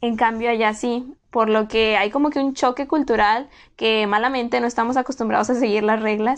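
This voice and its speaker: With an ordinary speaking voice, a woman talks at a moderate pace and a fairly high pitch, keeping a fairly even intonation against a quiet background. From Mexico. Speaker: podcast host, former exchange student. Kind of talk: casual solo podcast monologue.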